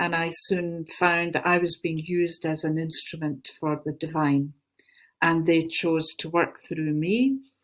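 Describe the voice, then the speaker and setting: In a very clean recording with a silent background, a woman with a Glaswegian accent talks at a fairly low pitch with fairly even intonation. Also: fairly slow pace. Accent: Glaswegian Scottish. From Scotland, Glasgow. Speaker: spiritual teacher and channeler. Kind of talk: interview talk.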